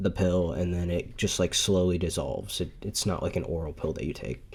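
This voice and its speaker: A man with a very deep, low voice and vocal fry talks at a fairly quick pace, his pitch varying in an ordinary way. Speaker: podcast host. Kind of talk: casual monologue. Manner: halting, many fillers.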